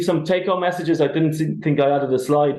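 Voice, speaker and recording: A man with an Irish accent talks at a fairly quick pace in a dark, mellow tone with fairly even intonation, and room echo is audible. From Ireland. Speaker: tenants union organiser. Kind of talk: webinar presentation.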